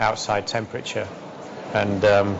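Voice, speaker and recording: Clear background noise can be heard. A man talks through it at a moderate speed. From West Yorkshire, England. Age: 40s. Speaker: entrepreneur and racing driver. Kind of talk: interview answer.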